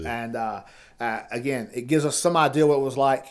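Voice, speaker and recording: Speaking at a moderate pace with ordinary pitch variation, a man uses a normal speaking voice. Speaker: former Army paratrooper. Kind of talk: casual podcast conversation.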